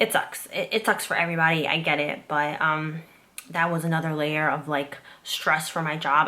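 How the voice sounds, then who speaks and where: Noticeable background noise runs under this clip. The speaker is a woman with a fairly low pitch. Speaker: YouTuber and former zookeeper. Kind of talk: casual personal vlog. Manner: fast; stressed, rambling.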